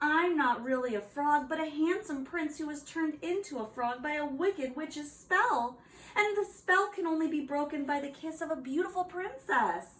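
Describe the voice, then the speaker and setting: This woman puts on a character voice. Her pitch is high. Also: moderate pace. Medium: read story.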